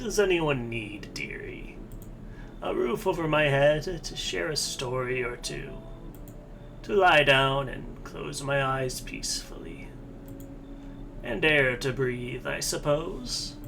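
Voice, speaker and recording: A man uses a put-on character voice, pitched fairly high, at a fairly slow pace with long, frequent pauses. Background noise is clearly audible. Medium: game stream. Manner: sweet, calls everyone dearie.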